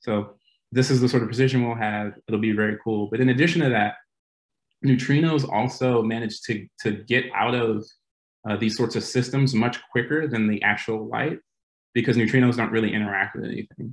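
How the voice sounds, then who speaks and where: A man talks at a fairly quick clip. His intonation stays fairly even over a quiet background. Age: 30s. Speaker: physicist, postdoctoral researcher. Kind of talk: lecture. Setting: video call. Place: home room. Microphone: video call.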